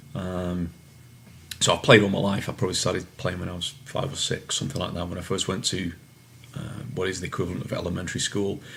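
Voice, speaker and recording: Over noticeable background noise, a man with a very deep, low voice speaks very fast with ordinary pitch variation. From England, Manchester. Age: 40s. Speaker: soccer referee. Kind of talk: interview answers. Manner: hesitant, many fillers.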